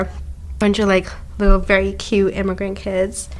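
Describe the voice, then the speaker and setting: With a Canadian accent, a woman talks at a moderate pace over noticeable background noise. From Canada, Ottawa; family from Zambia. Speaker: podcast co-host. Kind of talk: casual chat.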